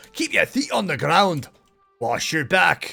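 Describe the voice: Over faint music in the background, a man uses a put-on character voice at a high pitch and a fairly slow pace. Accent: Scottish.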